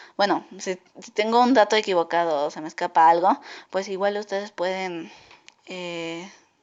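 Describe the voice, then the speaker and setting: Medium in pitch, a woman speaks at a moderate pace with ordinary pitch variation and big swings in loudness. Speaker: podcaster. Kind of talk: casual podcast monologue. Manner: halting.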